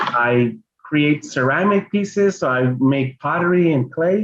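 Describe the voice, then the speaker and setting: This man has a fairly high voice and a Spanish accent. His intonation is lively. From Los Angeles, Mexican-American family. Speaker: children's book illustrator and artist. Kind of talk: bilingual family reading event presentation. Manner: halting, code-switching English and Spanish.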